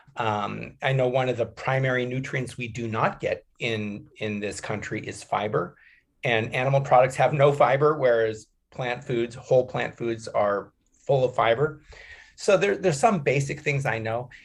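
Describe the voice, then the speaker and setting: A man talks at a moderate pace and medium pitch with ordinary pitch variation. His voice is somewhat breathy. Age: 60s. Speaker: animal sanctuary co-founder and author. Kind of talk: podcast interview.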